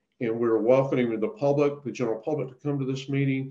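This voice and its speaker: This man has an ordinary speaking voice, a medium pitch, and ordinary pitch variation. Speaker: state water agency presenter. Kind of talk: webinar presentation. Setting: online webinar.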